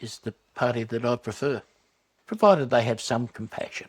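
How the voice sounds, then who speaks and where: A man with an Australian accent speaks at a moderate pace and medium pitch. The sound is dry and close, with no echo. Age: 60s. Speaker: retiree, swing voter. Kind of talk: documentary interview.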